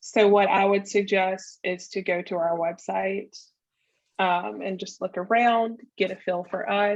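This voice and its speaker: A woman's medium-pitched voice in a Southern US accent, fairly slow and with fairly even intonation. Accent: Southern US drawl. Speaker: marketing business owner. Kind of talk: interview conversation.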